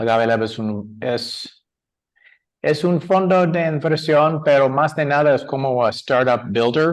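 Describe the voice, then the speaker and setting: Against a quiet background, a man talks very slowly with an American accent. His pitch is fairly high, with ordinary variation. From US, San Francisco. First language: English (speaking Spanish). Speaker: angel investor. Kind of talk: panel discussion. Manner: halting, many fillers and restarts.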